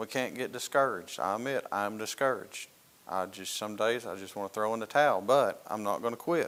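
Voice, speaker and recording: Speaking at a fairly quick pace with a Southern US accent, a man keeps a medium pitch and ordinary pitch variation. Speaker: Sunday school teacher and police officer. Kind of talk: Sunday school lesson.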